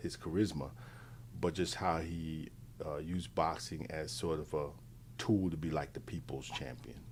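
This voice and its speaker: Audible room echo surrounds a man with an American accent and a very deep, low pitch. He talks at a fairly slow pace with ordinary pitch variation. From New York. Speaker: interview guest. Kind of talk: casual interview chat. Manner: halting, many fillers and repeats.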